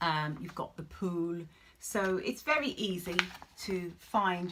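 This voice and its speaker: A woman speaks with noticeable background noise. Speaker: travel reviewer. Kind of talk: casual review.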